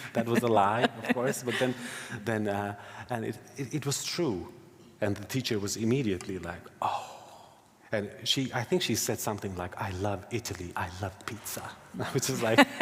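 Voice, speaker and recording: Speaking with an Albanian accent, a man with a fairly low, somewhat breathy voice leaves long, frequent pauses. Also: ordinary pitch variation, moderate pace. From Finland (Kosovo-born, moved at age two). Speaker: novelist. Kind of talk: literary festival interview. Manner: halting, many repetitions.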